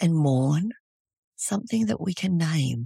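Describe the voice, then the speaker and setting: Very slowly and somewhat breathily, a woman with an Australian accent speaks in a dark, mellow tone with lively intonation, the sound dry and close with no echo. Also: very clean recording, silent background. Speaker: trauma therapist. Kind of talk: interview.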